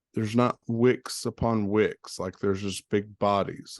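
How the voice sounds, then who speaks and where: A man speaks slowly-ish at a fairly low pitch in a slight Southern US accent, his intonation flat and monotone, the sound dry and close with no echo. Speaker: crypto trading educator. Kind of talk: tutorial. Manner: casual, hesitant with fillers.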